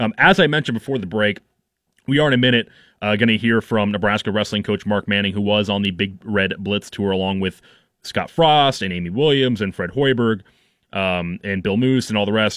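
A man talks in an ordinary speaking voice at a fairly quick pace, his pitch fairly low with ordinary pitch variation. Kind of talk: radio DJ patter, casual sports-radio host chat with station promos. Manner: chatty and relaxed, filler-heavy with frequent 'um' and restarts.

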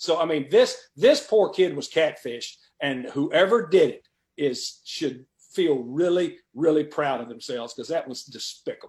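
A man speaks with a plain, everyday voice at a fairly high pitch and moderate pace. His intonation is lively, with big swings in loudness. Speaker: veteran football coach. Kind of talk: radio interview. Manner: talkative, rambling, repeats words.

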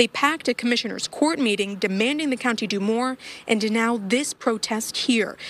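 A woman has an unremarkable speaking voice, fairly high in pitch with ordinary pitch variation. She talks at a moderate pace in a dry, close sound with no echo. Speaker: TV news reporter. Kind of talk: field news report. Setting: outdoors at a protest.

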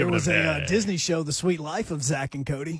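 This man's fairly high voice, with ordinary pitch movement, comes through noticeable background noise. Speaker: sports radio co-host, former top 40 FM DJ. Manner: fast talker.

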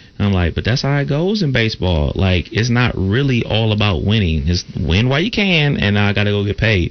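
A man with a plain, everyday voice, fairly low in pitch, with lively intonation. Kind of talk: loose sports-radio banter, ribbing the host about football.

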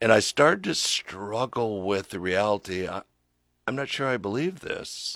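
In an American accent, a plain, everyday voice moves at a moderate pace with lively intonation, the sound dry and close with no echo. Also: man, medium pitch for a man. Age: 60s. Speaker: pastor and author. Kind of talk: radio interview. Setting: radio studio.

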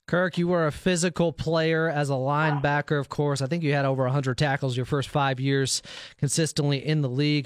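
A man with an ordinary speaking voice, fairly high-pitched for a man, fairly even intonation, very even loudness and a fairly quick pace. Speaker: radio host. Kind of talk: casual banter. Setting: studio.

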